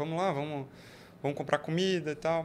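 A man with a high-pitched voice speaks in a very clean recording against a silent background. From Brazil, Joinville (Santa Catarina). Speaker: entrepreneur, international relations graduate. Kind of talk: casual interview chat.

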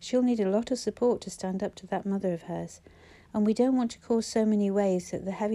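This is a natural reading voice. It carries no other listed traits beyond that.

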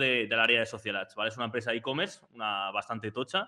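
A man is speaking. His pace is very fast. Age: 20s. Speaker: paid social media advertising expert. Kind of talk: interview on a live stream.

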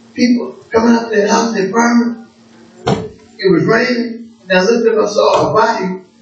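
With an extremely high pitch, a man talks at a moderate pace and fairly even intonation, over noticeable background noise and audible room echo. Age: 60s. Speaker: preacher. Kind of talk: sermon.

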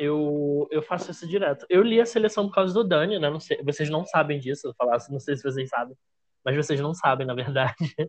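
This man talks at a fairly quick clip, his fairly high voice somewhat breathy and his intonation lively. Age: 20s. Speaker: author and editorial assistant. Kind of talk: casual chat. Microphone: bad internet connection.

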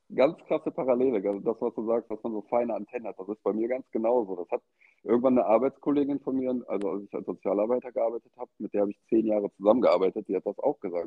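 Talking at a very fast pace, a man keeps a medium pitch. His pitch varies in an ordinary way. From western Germany, Eschweiler near Aachen. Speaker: tattoo artist. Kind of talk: casual interview. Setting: phone call. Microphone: AirPods and phone.

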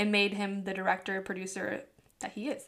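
A woman speaks at a fairly quick pace with an American accent. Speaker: podcast host. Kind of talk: casual chat.

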